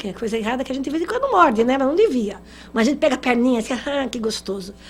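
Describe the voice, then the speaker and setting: A woman speaks in a high pitch with lively intonation. Noticeable background noise sits behind her. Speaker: spiritist lecturer. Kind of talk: lecture.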